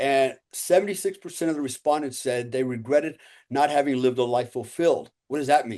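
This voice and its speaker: A man's dark, mellow voice at a fairly high pitch, fairly quick in pace, with ordinary pitch variation and a quiet background. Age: 60s. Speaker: former special operations soldier and entrepreneur. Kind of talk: casual interview chat.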